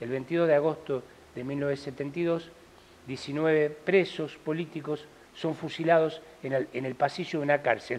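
With an unremarkable speaking voice, a man talks fairly slowly at a fairly high pitch, his intonation fairly even. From Argentina. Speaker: stage actor. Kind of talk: interview. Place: studio. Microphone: lapel.

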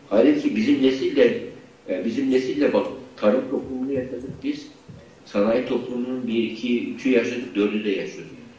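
With audible room echo around him, a man speaks at a moderate pace. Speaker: university rector, psychiatry professor; psychiatry professor. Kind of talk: online conference lecture; lecture. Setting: video call with screen sharing. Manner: halting, many fillers. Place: hall. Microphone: podium.

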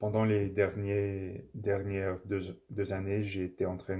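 A man's fairly low, dark and mellow voice with an English accent, over a quiet background. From English-speaking Canada. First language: English (speaking French). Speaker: language learner vlogger. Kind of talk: casual monologue, language practice. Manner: halting, many fillers and self-corrections. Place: home room. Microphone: phone near.

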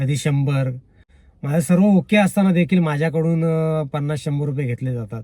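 Somewhat breathy and dark, mellow in tone, this man's voice sits at a fairly high pitch. It shows ordinary pitch variation. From Konkan, Ratnagiri district (Sangameshwar). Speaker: YouTube vlogger. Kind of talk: casual vlog monologue. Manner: halting, with repetitions and restarts.

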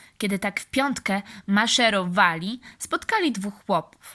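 A woman with a bright, sharp tone talks at a very slow pace, her pitch varying in an ordinary way. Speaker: audiobook reader for kids. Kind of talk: bedtime-style fairy tale reading aloud, scripted narration. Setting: after-school club audience. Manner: calm, warm, unhurried storyteller pace with gentle expressive character voices.

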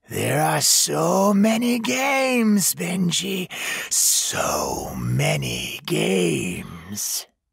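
A man puts on a raspy character voice with a menacing tone. He delivers it in a sing-song way at a very slow pace. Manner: mocking, singsong, menacing.

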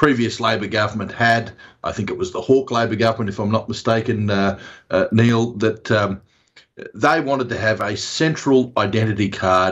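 Over a quiet background, a man talks at a moderate pace, his voice somewhat breathy and his intonation fairly even. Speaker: remote interview guest. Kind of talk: interview answer. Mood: critical, mildly jokey. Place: home room. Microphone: video call.

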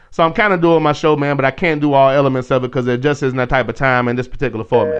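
A man at a medium pitch talking at a very fast pace. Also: ordinary pitch variation. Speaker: radio host. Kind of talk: casual chat. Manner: animated.

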